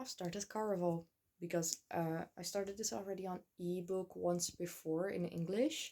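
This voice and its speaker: In a Dutch accent, a woman speaks with a dark, mellow tone at a fairly low pitch and ordinary pitch variation. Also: moderate pace. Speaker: book vlogger. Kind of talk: casual vlog. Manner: hesitant, many fillers.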